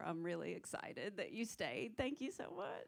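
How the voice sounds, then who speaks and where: With a strong Southern US accent, a woman talks at a medium pitch with lively intonation. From South Carolina. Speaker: stand-up comedian. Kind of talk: stand-up.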